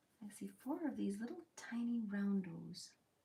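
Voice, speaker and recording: A woman's medium-pitched voice has a dark, mellow tone and sounds somewhat breathy. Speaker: crafting video creator, former machinist. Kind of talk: casual build commentary. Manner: relaxed, calm.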